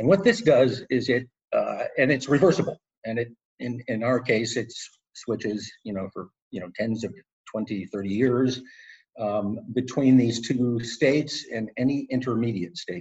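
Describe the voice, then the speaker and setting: This man's delivery is somewhat breathy. He keeps to a fairly slow pace. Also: medium pitch for a man, ordinary pitch variation, big swings in loudness. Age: 60s. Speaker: tech company co-founder. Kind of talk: interview. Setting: video call. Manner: halting, many repetitions and fillers.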